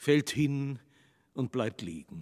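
Pitch swings very widely as a man speaks at a very slow pace. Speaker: narrator. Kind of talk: scripted stage narration, reading stage directions. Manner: measured, storytelling, dramatic.

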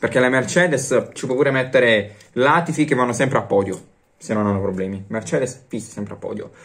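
Ordinary pitch variation marks this man's speech. He talks fairly fast. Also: medium pitch for a man. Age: young. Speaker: YouTuber sports commentator. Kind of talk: casual vlog commentary. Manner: animated. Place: home room. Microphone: phone near.

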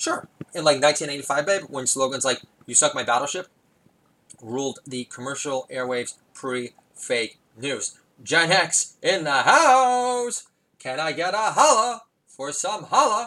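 His fairly high voice moves in very wide pitch swings as the man speaks at a fairly slow pace. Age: 40s. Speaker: podcast host. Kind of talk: solo comedic monologue. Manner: rambling with many filler words.

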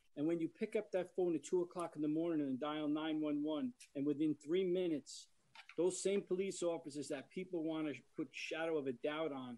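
A man with a New York accent speaks fairly quickly in a fairly high voice. His tone is dark and mellow, and his intonation is fairly even. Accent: New York area American. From Yorktown, New York. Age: 60s. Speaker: fire department emergency service veteran, resident. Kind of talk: public comment at a meeting. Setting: video teleconference. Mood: emotional, defensive of police. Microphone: video call.

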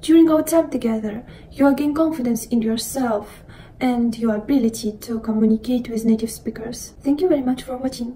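Light background noise sits behind a woman speaking at a moderate pace with a high pitch and ordinary pitch variation. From Russia. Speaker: language tutor. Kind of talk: self-introduction video. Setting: recorded video. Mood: calm, friendly. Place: home room. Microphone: phone near.

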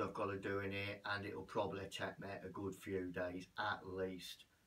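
An ordinary speaking voice delivers the words at a moderate pace. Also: man. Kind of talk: casual vlog chat. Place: bathroom. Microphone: camera far.

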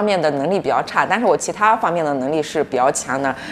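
Talking at a very fast pace, a woman's voice makes very wide pitch swings against light background noise. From northern China. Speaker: YouTuber. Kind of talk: casual chat. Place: home room. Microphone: camera far.

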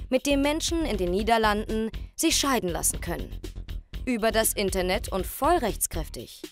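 Over music in the background, a woman speaks at a moderate pace with a fairly high pitch and lively intonation. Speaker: narrator of a TV report. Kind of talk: documentary report voice-over.

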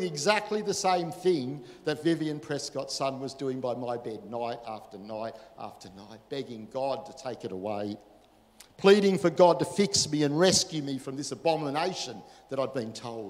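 The speaker has an Australian accent and a moderate pace. The pitch swings very widely, and the loudness rises and falls a lot. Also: man. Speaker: pastor; preacher. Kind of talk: sermon. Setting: church. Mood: earnest personal testimony. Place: church.

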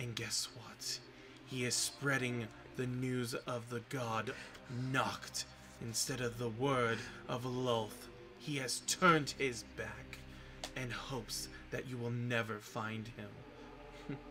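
A man puts on a character voice at a medium pitch, speaking at a very slow pace. He takes long, frequent pauses, and background noise is clear. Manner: gleeful, theatrical, conspiratorial.

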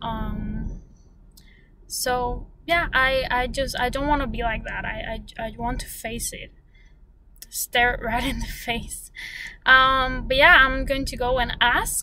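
In a dry sound with no echo and light background noise, a woman speaks at a very slow pace with long, frequent pauses and big swings in loudness. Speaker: vlogger. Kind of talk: casual vlog chat. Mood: reflective, calm. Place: car. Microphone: phone near.

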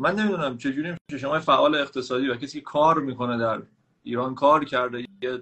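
A man speaks fairly quickly in an unremarkable speaking voice. His pitch varies in an ordinary way. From Iran. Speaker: caller. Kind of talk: casual chat. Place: home room. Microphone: video call.

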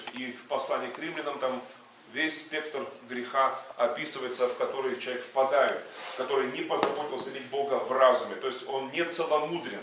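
A man's fairly quick speech with big swings in loudness, audible room echo and noticeable background noise. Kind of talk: sermon. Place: hall.

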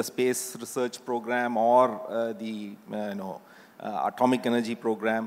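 A man speaks very slowly at a medium pitch. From India. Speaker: institute director. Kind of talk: panel discussion. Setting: stage with audience. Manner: halting. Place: stage. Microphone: handheld.

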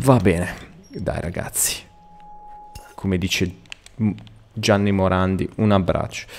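A man speaks at a fairly slow pace in a very deep, low voice, with noticeable background noise. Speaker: gaming youtuber. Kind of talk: live gameplay commentary. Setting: home recording at night.

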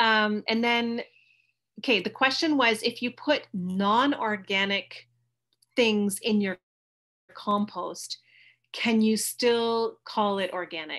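Someone with a Canadian accent speaks very slowly with long, frequent pauses and ordinary pitch variation against a quiet background. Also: woman, fairly high pitch for a woman. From Canada. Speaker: organic farmer and teacher; guest lecturer. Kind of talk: presentation lecture. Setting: video call from home. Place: home room. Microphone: webcam.

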